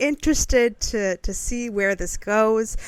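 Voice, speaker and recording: A woman speaks very slowly in a bright, sharp tone with a fairly high pitch. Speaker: podcast co-host. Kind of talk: casual chat.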